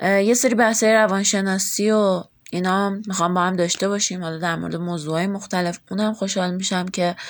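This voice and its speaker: A woman speaks in a plain, everyday voice at medium pitch. Her pace is fairly quick and her intonation fairly even. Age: 20s. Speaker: podcast host. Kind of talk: casual self-introduction monologue.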